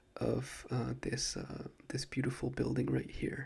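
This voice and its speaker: The man is soft-spoken. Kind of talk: ASMR soft-spoken talk to camera about a trip.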